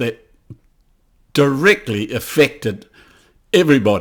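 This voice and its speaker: A man speaks with a New Zealand accent. His pace is very slow. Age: 80s+. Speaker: political commentator. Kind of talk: video monologue. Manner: halting.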